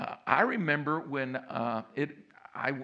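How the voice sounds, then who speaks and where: Against a quiet background, a man speaks with a fairly high pitch, ordinary pitch variation and a bright, sharp tone. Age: 70s. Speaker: pastor. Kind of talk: sermon. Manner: animated.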